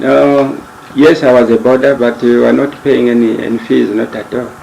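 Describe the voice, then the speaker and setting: The delivery holds a moderate pace and its pitch varies in an ordinary way. Behind it sits noticeable background noise. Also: man, medium pitch for a man. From Zambia, Kasempa district (North-Western Province). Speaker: retired medical worker. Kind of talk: interview. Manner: halting.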